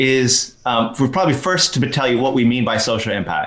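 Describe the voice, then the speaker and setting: This man speaks with an American accent at a medium pitch. His pace is moderate. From Texas. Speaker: social enterprise educator. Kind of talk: podcast interview.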